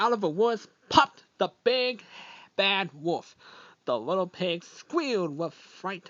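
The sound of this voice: Unforced reading voice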